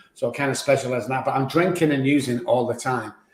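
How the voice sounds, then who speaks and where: A man with a Mancunian accent talks at a very fast pace in a somewhat breathy voice. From Manchester, England. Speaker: addiction doctor. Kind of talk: testimony.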